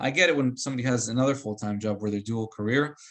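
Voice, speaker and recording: Fairly even intonation marks this man's normal speaking voice, pitched in the medium range. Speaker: real estate trainer. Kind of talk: coaching session.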